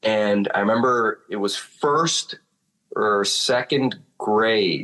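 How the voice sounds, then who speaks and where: With a Chicago accent and a bright, sharp tone, a man talks at a very slow pace at a medium pitch with ordinary pitch variation. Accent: Chicago accent, sounds almost Italian. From Chicago, US. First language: Spanish. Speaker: drummer. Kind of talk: casual chat.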